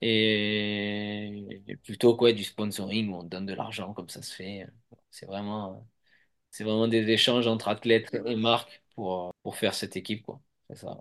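A man's fairly low-pitched voice with monotone, flat intonation, a fairly slow pace and big swings in loudness, over a quiet background. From Provence, southern France. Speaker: former mountain bike racer, product manager. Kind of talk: interview. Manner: hesitant, many fillers.

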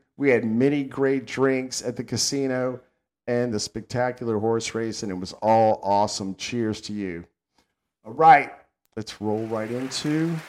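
On a very clean recording with a silent background, a man with a Southern US accent speaks at medium pitch, a fairly slow pace and ordinary pitch variation. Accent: Southern American. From US South. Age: old. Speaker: podcast host. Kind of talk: casual chat. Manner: animated.

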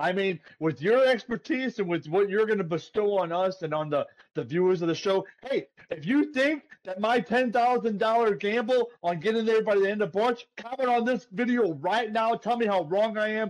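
A man talks loudly at a high pitch. His tone is animated. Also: ordinary pitch variation, moderate pace. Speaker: podcast co-host. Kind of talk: casual chat.

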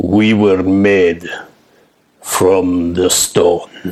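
A man uses a put-on character voice. It is gravelly and very deep and low in pitch. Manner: slow, deliberate, solemn.

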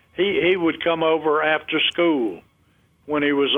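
Speaking with a North Carolina accent, a man talks at a fairly slow pace. His voice sits fairly high, with ordinary pitch variation. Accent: North Carolina Southern. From North Carolina, Montgomery County. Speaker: retired broadcaster. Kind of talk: interview reminiscence.

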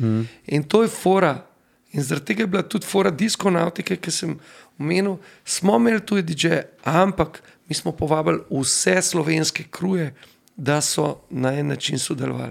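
Using an unremarkable speaking voice, a man talks with lively intonation at a fairly high pitch. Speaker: DJ and event organizer. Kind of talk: casual interview chat.

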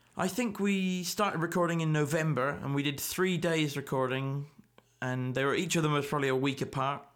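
A man's fairly high voice in a Scottish accent at a fairly quick pace, with ordinary pitch variation and very even loudness on a very clean recording with a silent background. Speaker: folk musician and podcast host. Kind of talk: solo podcast monologue. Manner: halting, many fillers.

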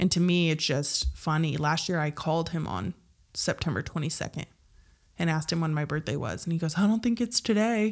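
Her pitch fairly low and her intonation lively, a woman with an unremarkable speaking voice talks at a fairly quick pace. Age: 30s. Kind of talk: casual chat.

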